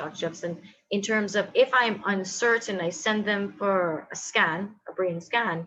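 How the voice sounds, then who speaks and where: Bright and sharp in tone, a woman's medium-pitched voice moves at a fairly slow pace. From Guyana. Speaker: therapist. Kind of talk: panel discussion.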